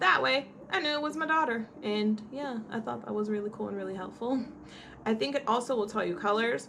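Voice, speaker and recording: Over noticeable background noise, a woman with a fairly high pitch talks at a fairly quick pace in an animated tone with lively intonation. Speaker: blind lifestyle vlogger, mother. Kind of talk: casual tutorial vlog. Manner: animated, chatty.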